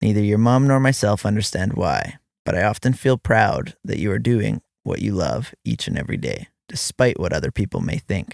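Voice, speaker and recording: Recorded with a dry, close sound and no echo, a man with a fairly low pitch and vocal fry talks at a moderate pace with lively intonation. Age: 30s. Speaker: father writing letters to his child. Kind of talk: reading aloud a personal letter.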